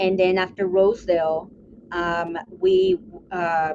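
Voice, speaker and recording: Fairly low female voice, noticeable background noise around it. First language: Spanish. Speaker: art therapist and city council member. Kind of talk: interview.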